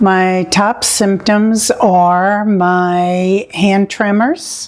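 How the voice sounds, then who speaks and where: A woman with an American accent talks at a medium pitch, with ordinary pitch variation. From New York City (Queens). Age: 70s. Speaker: patient. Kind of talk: testimony.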